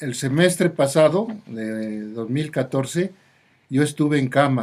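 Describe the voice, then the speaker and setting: A man at a very slow pace. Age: 70s. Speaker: doctor. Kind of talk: radio interview.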